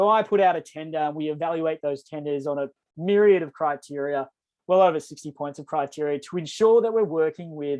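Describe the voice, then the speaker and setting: The speaker talks at a fairly quick pace with an Australian accent. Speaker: energy program coordinator for a not-for-profit. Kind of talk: webinar presentation. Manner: fast.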